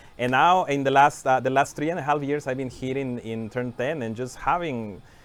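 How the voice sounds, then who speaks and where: This is a man speaking. He has a Spanish accent. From Mexico (Mérida, Yucatán). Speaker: software engineering manager, stream co-host. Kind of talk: casual livestream chat. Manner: hesitant, many fillers.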